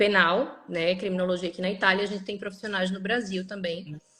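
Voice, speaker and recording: A woman speaks with a Recife accent. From northeastern Brazil, Recife. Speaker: lawyer. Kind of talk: interview on a live stream. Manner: halting, many fillers.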